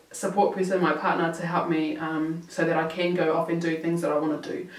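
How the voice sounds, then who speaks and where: Fairly low for a woman, her voice moves at a fairly quick pace. Noticeable background noise and audible room echo fill the recording. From New Zealand. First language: Maori. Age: 20s. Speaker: YouTuber. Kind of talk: Q&A vlog. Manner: casual, halting with fillers.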